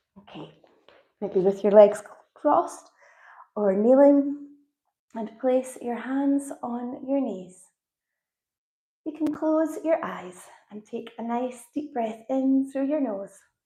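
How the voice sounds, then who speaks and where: In a calm, soothing tone with a Scottish accent, the voice moves at a very slow pace with long, frequent pauses, ordinary pitch variation, big swings in loudness, and a dark, mellow tone. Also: woman, high pitch for a woman. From Scotland. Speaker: yoga instructor. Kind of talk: guided yoga and breathwork instruction. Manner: calm, soothing, slow.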